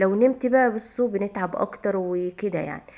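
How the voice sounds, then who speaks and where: A woman with an Egyptian accent speaks at a medium pitch. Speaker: home vlogger. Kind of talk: casual vlog talk.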